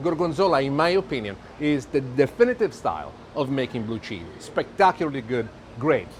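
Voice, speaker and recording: Speaking at a fairly quick pace with an Italian accent, a man uses a fairly high pitch and very wide pitch swings. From Italy. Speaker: TV chef. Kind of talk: cooking show presentation. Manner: animated.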